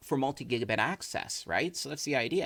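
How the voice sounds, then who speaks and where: At a fairly quick pace, a man with a medium pitch speaks with lively intonation. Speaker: tech YouTuber. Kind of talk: tutorial. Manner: casual; loud.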